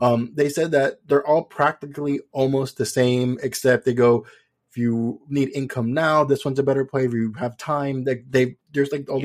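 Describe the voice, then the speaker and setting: A man with an American accent has an ordinary speaking voice at medium pitch and fairly even intonation. He talks at a fairly quick pace with hardly any pauses, in a dry, close sound with no echo. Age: 30s. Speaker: podcast host. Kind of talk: podcast interview.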